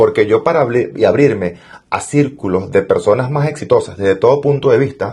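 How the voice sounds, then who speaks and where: Someone talks at a fairly quick pace in a Venezuelan accent. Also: man. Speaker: entrepreneur and financial mentor. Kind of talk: interview.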